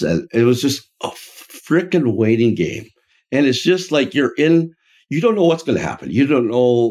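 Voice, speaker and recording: With lively intonation and a plain, everyday voice, a man speaks at a fairly slow pace. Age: 60s. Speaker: franchise founder and podcast co-host. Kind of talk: casual chat. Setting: office.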